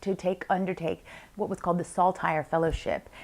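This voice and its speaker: In a very clean recording with a silent background, a woman with an American accent uses a normal speaking voice, fairly low in pitch, with fairly even intonation and a fairly quick pace. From US, Washington DC. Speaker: business coach and consultant. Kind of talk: interview monologue.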